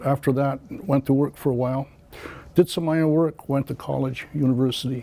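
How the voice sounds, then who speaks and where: At a moderate pace, a man with an American accent talks in a fairly high pitch with fairly even intonation. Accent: Canadian English, Mohawk community. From Akwesasne Mohawk territory, Canada-US border. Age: 60s. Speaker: political candidate. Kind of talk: interview. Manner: hesitant, many filler words.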